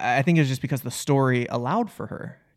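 A man speaks in an ordinary speaking voice at a medium pitch. His pace is fairly quick, and his pitch varies in an ordinary way. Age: 30s. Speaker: filmmaker and actor, podcast co-host. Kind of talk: casual chat.

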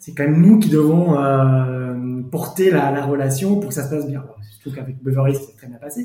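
A man speaks with a dark, mellow tone that is somewhat breathy. His pitch varies in an ordinary way. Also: big swings in loudness. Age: 40s. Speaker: lawyer. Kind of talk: testimony.

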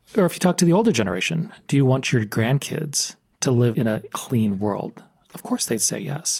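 At a moderate pace, a man with an American accent and a somewhat breathy, medium-pitched voice speaks with very wide pitch swings. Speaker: podcast host, professor. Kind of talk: interview.

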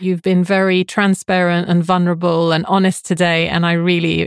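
Against a quiet background, a woman with a fairly low voice speaks in a monotone, flat way at a moderate pace, with a dry, close sound with no echo. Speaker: life coach and podcast host. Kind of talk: interview, conversational.

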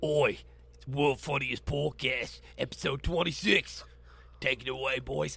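A man does a put-on character voice, raspy and fairly slow. Light background noise sits under it.

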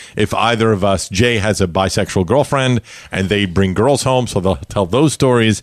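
With very even loudness, a man speaks in a New York accent at a fairly low pitch. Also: ordinary pitch variation, moderate pace. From Brooklyn, New York. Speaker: podcast host. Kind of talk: casual interview chat.

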